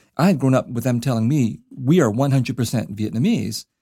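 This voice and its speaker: On a very clean recording with a silent background, a man with an American accent has a dark, mellow tone. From US, California Bay Area. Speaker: novelist. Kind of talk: interview conversation. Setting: university office, away from studio.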